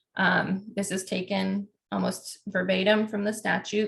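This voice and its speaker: A woman's medium-pitched voice with vocal fry and fairly even intonation. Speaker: domestic violence policy trainer. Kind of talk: online training presentation. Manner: fast.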